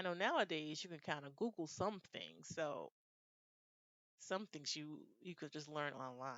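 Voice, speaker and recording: At a fairly slow pace, a woman with an American accent speaks in an unremarkable speaking voice at a fairly low pitch. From United States. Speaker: IELTS speaking tutor. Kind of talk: reflective commentary to camera.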